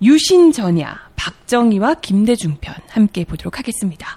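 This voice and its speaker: A woman's fairly high, somewhat breathy voice with a dark, mellow tone and very wide pitch swings, in a dry, close sound with no echo. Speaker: announcer. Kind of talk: radio-style lecture hosting.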